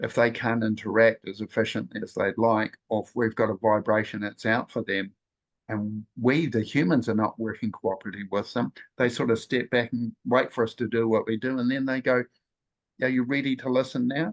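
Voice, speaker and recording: A man with a normal speaking voice talks at a medium pitch and a fairly quick pace. His intonation is fairly even, and the sound is dry and close with no echo and a quiet background. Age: 60s. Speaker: spiritual nature guide. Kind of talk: group sharing circle talk.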